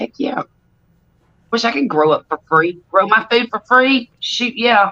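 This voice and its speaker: This woman speaks loudly with a Southern US accent, using a fairly high pitch and very wide pitch swings at a fairly slow pace. The sound is dry and close, with no echo. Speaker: livestream host. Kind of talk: casual chat. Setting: live stream.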